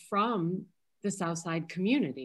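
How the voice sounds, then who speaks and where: A woman with an American accent speaks with lively intonation. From US Midwest, Chicago. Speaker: historic preservation advocate. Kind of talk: Q&A discussion. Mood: earnest, somewhat disheartened. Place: home room. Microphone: video call.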